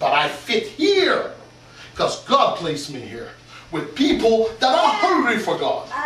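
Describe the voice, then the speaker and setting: A man's voice with big swings in loudness, audible room echo, and noticeable background noise. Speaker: pastor. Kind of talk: sermon. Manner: animated.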